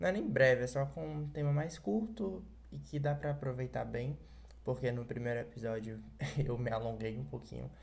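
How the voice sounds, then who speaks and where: There is audible room echo as a man talks at a moderate pace. His somewhat breathy voice sits at medium pitch yet makes very wide pitch swings. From Ceará, Brazil. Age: young. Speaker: podcast host. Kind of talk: solo podcast monologue.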